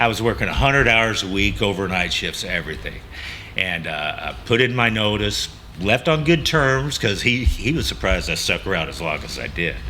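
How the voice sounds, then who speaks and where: A man with a Texas accent and fairly low pitch, amid noticeable background noise and audible room echo. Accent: Texas drawl. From Texas Gulf Coast. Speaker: coffee shop owner. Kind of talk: interview. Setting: on location in coffee shop. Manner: halting, many fillers.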